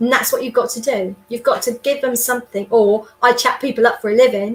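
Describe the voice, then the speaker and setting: A woman speaks loudly with a high pitch. Her pace is fairly quick. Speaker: sales trainer and business development consultant. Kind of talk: interview. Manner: animated.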